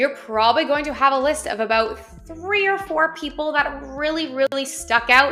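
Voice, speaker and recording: A raised, projected voice talks at a moderate pace with ordinary pitch variation. Background noise is noticeable. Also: woman, high pitch for a woman. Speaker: online business tutorial creator. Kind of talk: tutorial.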